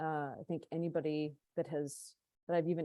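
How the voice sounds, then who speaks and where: A woman in an American accent with a fairly low pitch and a dark, mellow tone, on a very clean recording with a silent background. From California, US. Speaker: panelist, Portuguese-American community leader. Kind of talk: panel discussion introduction.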